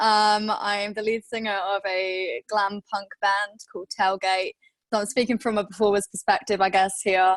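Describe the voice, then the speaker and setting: Someone with a Welsh accent talks at a fairly slow pace with fairly even intonation and hardly any pauses, in a dry, close sound with no echo. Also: woman. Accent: Welsh, noticeable. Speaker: punk band lead singer. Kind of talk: panel discussion. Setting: video call.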